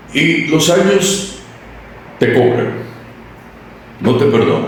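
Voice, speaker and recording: In a room with audible echo and noticeable background noise, a man with a fairly high voice speaks very slowly with lively intonation. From Costa Rica, San Isidro (rural). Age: 70s. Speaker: radio announcer and newsreader. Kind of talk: interview. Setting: radio station premises.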